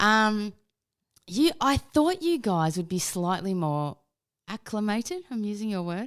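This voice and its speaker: In an Australian accent, a woman at a medium pitch makes very wide pitch swings on a very clean recording with a silent background. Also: fairly slow pace. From Australia, Melbourne. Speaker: podcast guest, podcaster. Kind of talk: casual chat.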